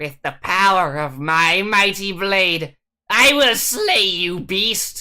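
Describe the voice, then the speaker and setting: A female-sounding, put-on character voice speaks at a very slow pace in a medium pitch. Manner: bold, heroic.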